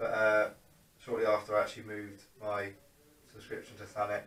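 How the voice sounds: The pace is fairly quick and the tone fairly bright. Room echo can be heard. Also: man.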